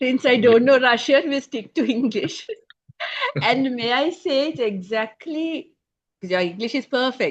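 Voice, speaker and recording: A woman speaks in a high voice with lively intonation. Her pace is fairly slow. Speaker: interviewer. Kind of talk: interview.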